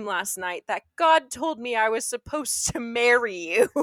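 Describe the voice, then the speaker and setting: A woman's raised, projected voice at a moderate pace, with very wide pitch swings. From England. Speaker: podcast co-host. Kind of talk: casual chat. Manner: animated.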